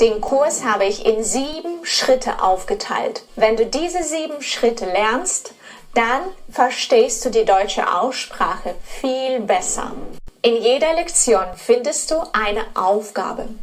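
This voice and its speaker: A woman with a non-native accent talks at a very slow pace in a high pitch, her intonation lively, over noticeable background noise. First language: not German (speaking German). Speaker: German pronunciation teacher. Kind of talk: course introduction.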